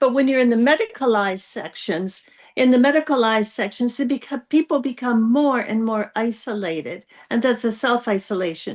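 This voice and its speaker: A woman with an American accent talks fairly quickly at a high pitch with ordinary pitch variation against a quiet background. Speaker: panel guest. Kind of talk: casual discussion. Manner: halting, many fillers and restarts.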